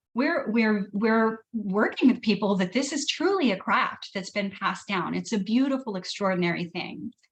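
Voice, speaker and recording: At a moderate pace, this woman's somewhat breathy voice sits fairly high, with ordinary pitch variation. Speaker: wellness therapist and essential oils seller. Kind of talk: online training presentation. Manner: hesitant, many fillers and repeats.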